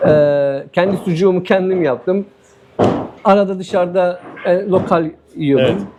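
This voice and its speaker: Against noticeable background noise, a man with a high pitch speaks at a fairly slow pace with long, frequent pauses, very even loudness and ordinary pitch variation. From Turkey, Diyarbakır. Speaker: former footballer living abroad. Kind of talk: casual interview.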